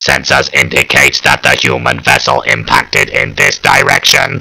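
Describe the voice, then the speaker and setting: A put-on character voice from a man, delivered at a moderate pace. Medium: read story. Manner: measured, flat, clipped reports.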